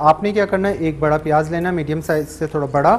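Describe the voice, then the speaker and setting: A man talks fairly quickly and with fairly even intonation while light noise sits in the background. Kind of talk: tutorial. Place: studio. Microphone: lapel.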